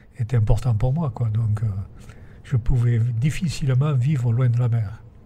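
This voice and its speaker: A man's fairly slow voice with a Provençal accent, medium in pitch, over noticeable background noise. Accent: Provençal southern French. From Provence. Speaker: retired teacher and windmill restorer. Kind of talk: interview. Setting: inside a windmill. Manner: calm, sing-song.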